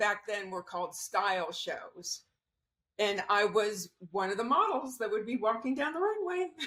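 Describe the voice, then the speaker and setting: With an American accent, a woman speaks in a normal speaking voice at a fairly high pitch and a moderate pace. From US South, Cocoa Beach, Florida. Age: 60s. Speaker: former fashion model. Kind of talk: interview.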